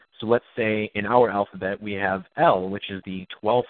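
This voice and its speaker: A man speaks in an unremarkable speaking voice at a moderate pace. His pitch is fairly low, with ordinary variation. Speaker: numerology researcher and activist. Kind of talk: interview. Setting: phone call.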